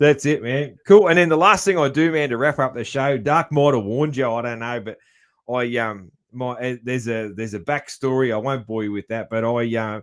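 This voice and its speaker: Medium in pitch, a man speaks at a fairly quick pace. His pitch variation is ordinary. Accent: strong Australian. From Australia. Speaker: podcast host. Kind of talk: casual chat. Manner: clear articulate diction.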